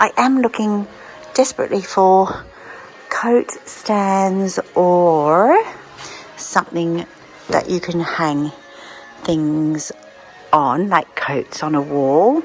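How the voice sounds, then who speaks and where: Over music in the background, a woman with an Australian accent and a fairly low pitch speaks at a very slow pace, with lively intonation and long, frequent pauses. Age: 60s. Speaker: vlogger. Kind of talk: casual talk to camera.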